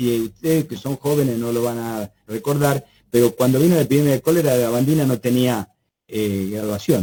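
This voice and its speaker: A somewhat breathy man with a dark, mellow tone speaks at a fairly quick pace and medium pitch, with ordinary pitch variation. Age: 70s. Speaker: biosafety expert, lecturer. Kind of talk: webinar Q&A.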